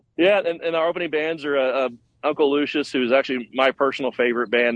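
Here a man speaks with an East Texas accent. His pace is very fast, with ordinary pitch variation. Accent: East Texas American. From Texas, Tyler. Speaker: festival organizer. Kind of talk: radio interview. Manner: halting.

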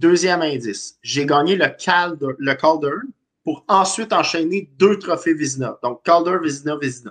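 A man's fairly high voice, a normal speaking voice, with ordinary pitch variation and a fairly slow pace. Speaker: hockey panelist. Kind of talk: casual sports panel chat.

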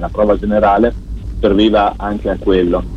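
Fairly quick speech, noticeable background noise underneath. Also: man. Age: 40s. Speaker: radio tech columnist. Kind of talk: radio chat. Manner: halting.

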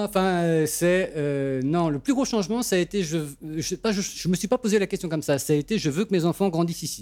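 With lively intonation and a high pitch, a man talks at a moderate pace with hardly any pauses, the sound dry and close with no echo. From France. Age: 40s. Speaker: sound engineer. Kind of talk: interview testimony.

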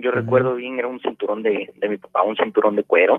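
A man at medium pitch with lively intonation and a very fast pace, music in the background. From Mexico, Puebla. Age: 20s. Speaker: auto body painter. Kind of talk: personal testimony. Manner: halting, many fillers.

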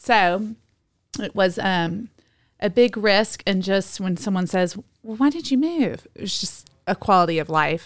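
This woman has an unremarkable speaking voice, medium in pitch and lively in intonation. She talks at a fairly slow pace on a very clean recording with a silent background. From Texas, Dallas. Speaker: yoga teacher. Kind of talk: casual chat.

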